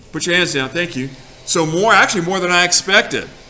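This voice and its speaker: Room echo can be heard as a man speaks with ordinary pitch variation. Noticeable background noise runs underneath. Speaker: teacher. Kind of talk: classroom lesson. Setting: classroom. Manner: loud.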